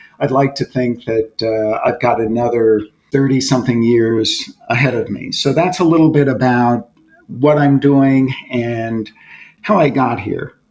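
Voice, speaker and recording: A man talks at a fairly slow pace in a medium-pitched voice with ordinary pitch variation. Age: 60s. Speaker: corporate board director. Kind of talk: podcast interview. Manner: reflective, with frequent hesitations.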